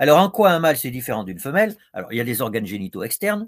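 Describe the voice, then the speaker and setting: Talking at a very fast pace, a man lets his pitch swing very widely. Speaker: professor and psychiatrist. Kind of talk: lecture. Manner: hesitant, many fillers.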